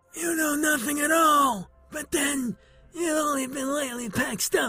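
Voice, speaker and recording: A hoarse, cartoonish character voice from a man at a moderate pace, with faint music in the background. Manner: gruff, know-it-all.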